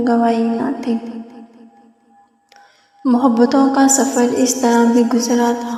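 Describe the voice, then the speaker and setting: A woman speaks in a high, flat monotone over background music. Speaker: poetry reciter. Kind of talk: poetry reading.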